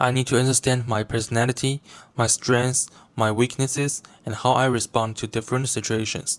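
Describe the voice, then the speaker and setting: A man with a Chinese accent speaks at a fairly quick pace in a flat monotone at medium pitch, the sound dry and close with no echo in a very clean recording with a silent background. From China. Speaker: university student. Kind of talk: reflective video presentation. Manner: formal.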